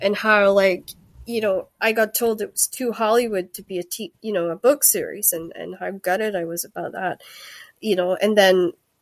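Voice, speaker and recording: A woman of medium pitch speaks in a Scottish accent at a moderate pace, her intonation fairly even but her loudness swinging widely, in a dry, close sound with no echo. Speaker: author. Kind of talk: casual chat. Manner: halting.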